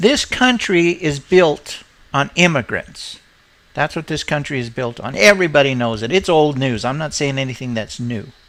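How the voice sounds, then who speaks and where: A man uses an ordinary speaking voice at a moderate pace. His fairly high pitch carries lively intonation. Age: 60s. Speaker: video blogger. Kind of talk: casual rant.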